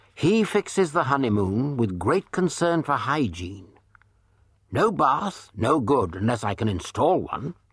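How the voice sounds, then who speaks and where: Over a quiet background, a man of medium pitch speaks at a fairly slow pace in a dramatic tone, with very wide pitch swings and vocal fry. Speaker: audiobook narrator. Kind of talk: dramatic narration of true crime, with acted-out dialogue. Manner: dramatic, sly and sardonic, shifting into mock-suave and coy voices for the dialogue.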